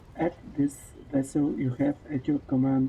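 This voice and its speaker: Fairly slow speech with a non-native accent. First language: not English. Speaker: streamer. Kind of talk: reading game text aloud during let's play. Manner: halting, rereading words.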